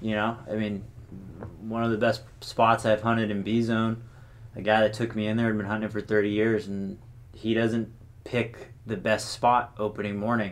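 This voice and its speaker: A man with an American accent speaks at a fairly low pitch. His intonation is monotone and flat, his pace moderate. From California, Sonoma County. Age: 20s. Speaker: hunter. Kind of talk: casual chat.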